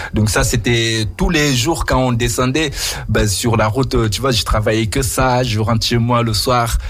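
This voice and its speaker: A man speaks at a fairly slow pace with a non-native accent and ordinary pitch variation. Audible room echo and noticeable background noise fill the recording. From Mauritania. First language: not French (speaking French). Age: 30s. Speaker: radio host. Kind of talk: radio interview.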